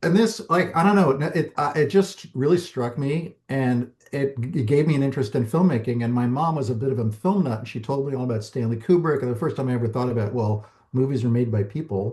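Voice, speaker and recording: Talking at a fairly quick pace with hardly any pauses, a man with an American accent sounds somewhat breathy, his intonation lively. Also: medium pitch for a man. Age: 60s. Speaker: documentary filmmaker. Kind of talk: interview. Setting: podcast.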